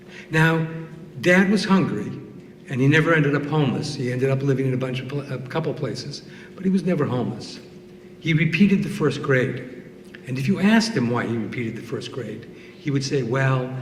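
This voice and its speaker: Lively intonation carries this fairly quick delivery, with audible room echo. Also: man. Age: 60s. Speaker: storyteller. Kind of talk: storytelling.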